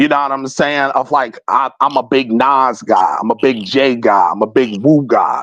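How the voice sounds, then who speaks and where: Fairly high male voice at a moderate pace, with a slight Southern US accent. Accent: hint of US South. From West Philadelphia, US. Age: 30s. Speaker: indie rapper. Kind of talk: interview. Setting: in-person studio interview.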